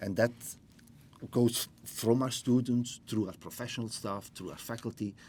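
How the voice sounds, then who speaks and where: Medium in pitch, a man with a Flemish accent speaks in a dark, mellow tone. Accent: Belgian (Flemish) English. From Belgium. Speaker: business school dean. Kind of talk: interview.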